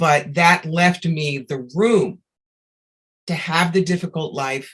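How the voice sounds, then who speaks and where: A woman speaks at a very slow pace in a somewhat breathy voice. Her pitch is fairly low, with ordinary variation. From New York. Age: 60s. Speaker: psychic medium. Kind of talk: interview.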